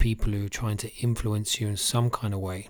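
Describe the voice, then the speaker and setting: In a very clean recording with a silent background, a man speaks at a moderate pace in a fairly low voice with monotone, flat intonation. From UK, Irish family. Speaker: fitness coach and life coach. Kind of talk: motivational podcast monologue.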